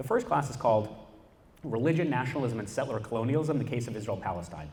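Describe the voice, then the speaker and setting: Animated and somewhat breathy, a man talks very fast at a medium pitch with lively intonation, and the room echoes audibly. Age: 20s. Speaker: activist. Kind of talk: panel talk.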